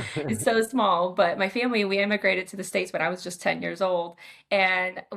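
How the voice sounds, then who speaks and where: With an American accent and vocal fry, a woman talks at a fairly quick pace with ordinary pitch variation. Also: medium pitch for a woman. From Moldova, then US Midwest from age ten. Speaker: psychiatrist. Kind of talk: podcast interview.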